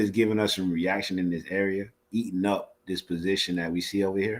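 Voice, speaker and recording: This man talks at a fairly quick pace in a fairly low pitch. The recording is very clean, with a silent background. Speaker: trading educator. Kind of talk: live trading Q&A stream. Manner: fast.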